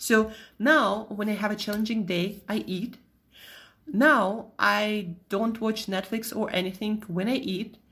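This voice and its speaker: A woman with a Russian accent, fairly high in pitch, at a fairly slow pace with fairly even intonation. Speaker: nutritionist podcast host. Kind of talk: solo podcast monologue. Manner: casual.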